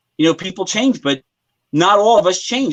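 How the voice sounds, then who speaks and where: Against a quiet background, a man talks at a fairly quick pace with ordinary pitch variation, the sound dry and close with no echo. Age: 50s. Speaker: metal musician. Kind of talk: interview. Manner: animated.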